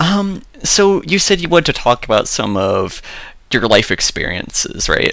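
A man's bright, sharp voice swings very widely in pitch. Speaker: podcast host. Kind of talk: casual interview chat. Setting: video call.

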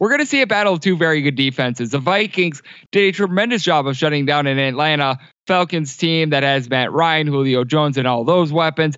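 Keeping very even loudness, a man with an unremarkable speaking voice talks at a fairly quick pace in a fairly high pitch with ordinary pitch variation. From Wisconsin. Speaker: sports betting analyst and podcast host. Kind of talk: casual chat.

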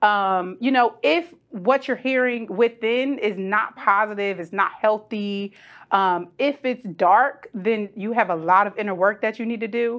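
A woman's normal speaking voice, fairly high in pitch, at a fairly slow pace with hardly any pauses, ordinary pitch variation, and a quiet background. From Trenton, New Jersey. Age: 30s. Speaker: podcast host. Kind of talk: casual interview.

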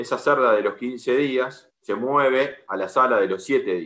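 With a bright, sharp tone, a man talks at a medium pitch. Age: 40s. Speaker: agronomist and pig farmer. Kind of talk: interview. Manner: halting.

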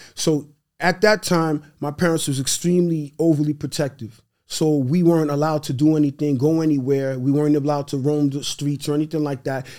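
A man with a New York accent speaks at a fairly quick pace in a fairly high voice with a dark, mellow tone. The recording is very clean, with a silent background. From New York City (Brooklyn, Queens). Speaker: real estate investor. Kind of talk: casual chat. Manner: animated.

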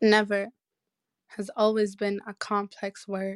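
This woman's voice sits at a medium pitch. The sound is dry and close with no echo, and the recording is very clean with a silent background. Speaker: poet. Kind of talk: poetry performance.

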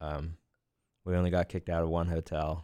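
A man's very deep, low voice with an American accent, moderate pace and monotone, flat intonation, in a very clean recording with a silent background. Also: dry, close sound with no echo. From Lancaster County, Pennsylvania. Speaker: bass player and musician. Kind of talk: casual interview. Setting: studio in a glass booth. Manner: hesitant, many fillers.

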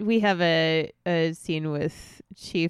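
The speaker talks at a very slow pace with an American accent. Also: woman. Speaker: podcast co-host. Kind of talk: casual chat.

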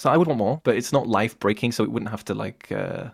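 The speaker talks at a fairly quick pace with vocal fry. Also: man. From England. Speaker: musician and podcaster. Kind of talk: casual chat.

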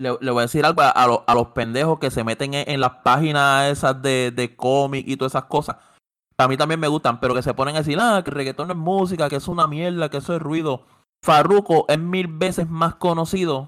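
A man speaks in an ordinary speaking voice, fairly high-pitched and fairly quick, with ordinary pitch variation on a very clean recording with a silent background. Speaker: podcast co-host. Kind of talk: casual chat.

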